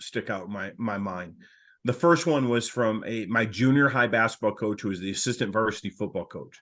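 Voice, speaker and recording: Against a quiet background, a man with a plain, everyday voice and an American accent talks fairly quickly at medium pitch with ordinary pitch variation. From Michigan, US Midwest. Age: 60s. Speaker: coaching consultant, former coach. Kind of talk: podcast interview.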